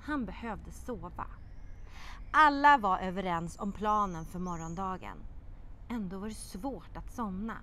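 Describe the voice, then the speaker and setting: The woman's delivery is animated and dramatic, with very wide pitch swings at a fairly slow pace. Light background noise is present. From Sweden. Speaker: children's TV presenter and writer; TV presenter. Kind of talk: expressive children's audiobook reading aloud, voicing characters. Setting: outdoor courtyard. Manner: lively storytelling cadence with dramatic pauses; animated character voices in dialogue. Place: garden. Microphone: lapel.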